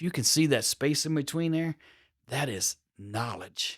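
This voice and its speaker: The recording is very clean, with a silent background. A man talks with ordinary pitch variation. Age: 60s. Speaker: podcast host. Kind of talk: motivational talk. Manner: casual, with fillers and restarts.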